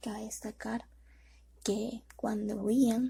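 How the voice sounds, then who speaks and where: Soft-spoken and very slow, a woman talks with vocal fry and a dark, mellow tone. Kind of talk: soft-spoken ASMR reading of educational history text. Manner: soft-spoken, slow.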